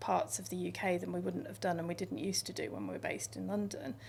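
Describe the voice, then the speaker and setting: A woman talks in a northwest English accent. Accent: northern English, Northwest. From northern England, Lancashire and Yorkshire. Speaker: radio station controller. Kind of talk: interview.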